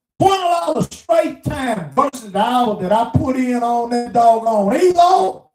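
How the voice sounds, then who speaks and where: Speaking with a Mississippi accent, a man talks at a fairly slow pace in an extremely high voice with very wide pitch swings. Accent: Southern US (Mississippi). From US South, small town Mississippi. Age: 60s. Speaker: truck driver vlogger. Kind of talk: casual monologue rant.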